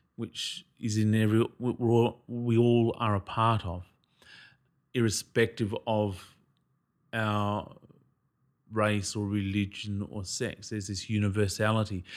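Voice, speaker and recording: Speaking in an Australian accent with monotone, flat intonation, a man talks at a fairly low pitch and a fairly slow pace, leaving long, frequent pauses, in a very clean recording with a silent background. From Australia, Noongar country, southwest Western Australia. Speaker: actor. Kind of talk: casual chat.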